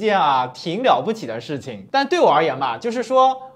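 His pitch is high for a man and swings very widely. The man keeps a fairly quick pace. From China. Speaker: video blogger. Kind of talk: casual storytelling monologue. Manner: animated. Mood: amused, exasperated at times. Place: studio. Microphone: lapel.

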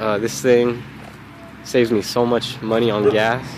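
Against noticeable background noise, a man keeps a medium pitch and fairly even intonation at a moderate pace. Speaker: home video vlogger. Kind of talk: casual home tour vlog. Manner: monotone.

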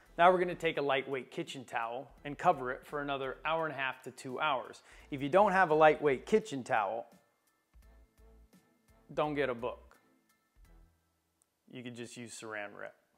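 Faint music plays in the background as a man speaks with ordinary pitch variation. His loudness swings widely, and he takes long, frequent pauses. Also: moderate pace. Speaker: home cooking host. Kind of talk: tutorial. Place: kitchen. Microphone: lapel.

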